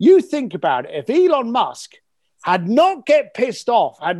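A man speaks at a moderate pace with very wide pitch swings, in a very clean recording with a silent background. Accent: London. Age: 50s. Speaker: author and entrepreneur. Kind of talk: podcast interview. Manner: animated.

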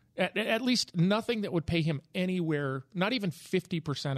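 A man with a plain, everyday voice, lively intonation and a moderate pace, on a very clean recording with a silent background and a dry, close sound with no echo. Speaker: real estate agent and author. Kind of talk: casual panel discussion.

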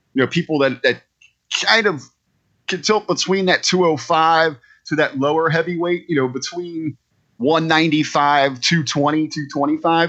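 The man's voice is fairly high in pitch. His tone is animated. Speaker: wrestling podcast co-host. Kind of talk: casual chat.

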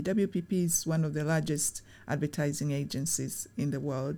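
At a moderate pace, the speech comes through in a dark, mellow tone. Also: woman, very clean recording, silent background. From Tanzania. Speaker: charity executive. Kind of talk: interview.

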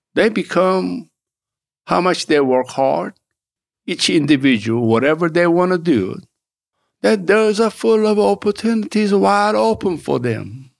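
Delivery comes with a Korean accent and very wide pitch swings. The pace is fairly slow, broken by long, frequent pauses. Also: man, high pitch for a man, very even loudness. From South Korea, raised in Augusta, Georgia. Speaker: political candidate and author. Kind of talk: interview. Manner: animated.

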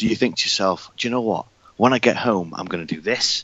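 Fairly low in pitch, a man with a British accent speaks with ordinary pitch variation. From UK. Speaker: podcaster and filmmaker. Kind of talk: casual chat.

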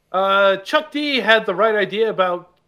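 Raised, projected speech from a man, bright and sharp in tone and high in pitch. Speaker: podcast host. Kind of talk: casual chat with news segments.

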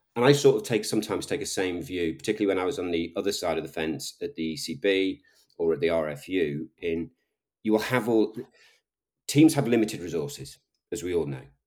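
A man talks very fast in a very deep, low voice with a Liverpool accent. His pitch swings very widely, and the recording is very clean with a silent background. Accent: Liverpool Scouse. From Liverpool, England. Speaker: sports tech executive.

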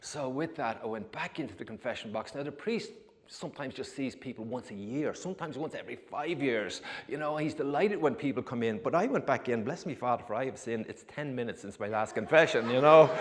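Talking at a very fast pace, a man with an Irish accent uses a fairly high pitch and ordinary pitch variation. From Ireland. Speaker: former fisherman. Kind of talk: testimony. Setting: church.

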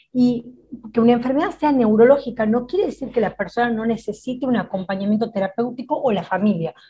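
In a Rioplatense accent, a woman talks at a fairly quick pace with a fairly high pitch. Her tone is dark and mellow, with ordinary pitch variation. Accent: Argentine Spanish (rioplatense). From Argentina. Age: 40s. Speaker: psychologist. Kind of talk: interview conversation.

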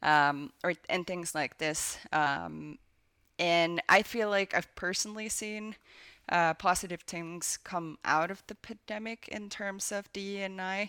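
In a Finnish accent, a bright, sharp voice moves at a very slow pace with ordinary pitch variation on a very clean recording with a silent background. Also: woman, medium pitch for a woman, dry, close sound with no echo. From Finland. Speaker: video game producer. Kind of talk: interview.

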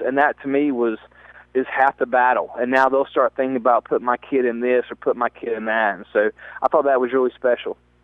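A man's medium-pitched, enthusiastic voice at a very fast pace. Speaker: youth football camp organizer. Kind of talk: radio interview.

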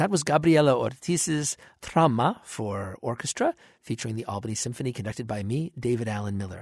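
A man with a plain, everyday voice talks fairly quickly at medium pitch with lively intonation, the sound dry and close with no echo against a quiet background. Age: 50s. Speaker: orchestra conductor giving radio commentary. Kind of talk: radio commentary on a concert broadcast.

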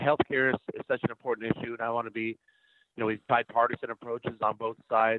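Fairly quick speech from a man, medium in pitch, with fairly even intonation. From Iowa, US Midwest. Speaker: former congressman and political candidate. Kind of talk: interview.

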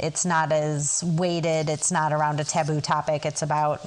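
Over noticeable background noise, a woman with a very deep, low pitch speaks at a moderate pace in a monotone, flat way. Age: 40s. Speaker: sex therapist. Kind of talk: interview.

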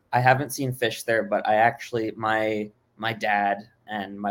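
Here a man speaks with an American accent at a fairly low pitch. His intonation is monotone and flat. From Miami, Florida. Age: 20s. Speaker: music fan and former brand ambassador. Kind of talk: casual chat.

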